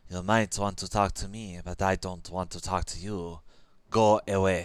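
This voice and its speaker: Putting on a character voice, a man hisses at a moderate pace in a very deep, low pitch with monotone, flat intonation. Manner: hissing, hostile.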